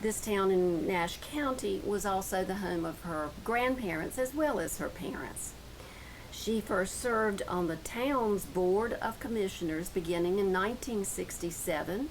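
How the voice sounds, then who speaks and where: The voice moves at a fairly slow pace with lively intonation, amid noticeable background noise. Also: woman, medium pitch for a woman. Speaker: oral history interviewer.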